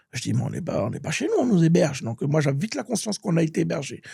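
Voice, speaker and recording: Vocal fry runs through a man's dark, mellow tone. His pitch swings very widely. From France, with childhood years in Gabon (Libreville) and Bordeaux. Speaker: musician and author. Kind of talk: interview. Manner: halting, with many repetitions.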